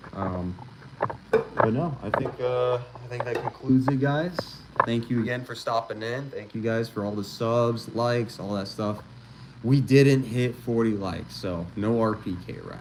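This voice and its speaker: Over noticeable background noise, a man of medium pitch talks fairly slowly with ordinary pitch variation. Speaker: gun channel streamer. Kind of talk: casual livestream chat. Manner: quiet.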